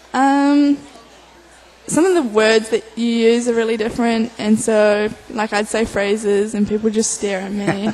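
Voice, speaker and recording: A woman speaks at a fairly slow pace in a fairly high voice. Her intonation is fairly even, and there is noticeable background noise. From New Zealand. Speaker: college athlete (rower). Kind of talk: radio interview.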